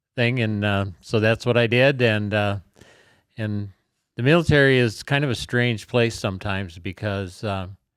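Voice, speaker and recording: A man with an Upper Midwest accent talks at a fairly slow pace and fairly low pitch. His intonation is fairly even, on a very clean recording with a silent background. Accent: Upper Midwest American. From South Dakota, Sioux Falls. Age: 70s. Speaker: war veteran. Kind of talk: interview. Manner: halting, many fillers.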